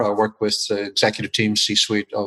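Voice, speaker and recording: Speaking with a strong Irish accent at a moderate pace, a man has a fairly low pitch and a bright, sharp tone, recorded dry and close with no echo. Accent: Irish, still strong after twenty years in US. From Ireland. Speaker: business consultant and author. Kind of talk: interview.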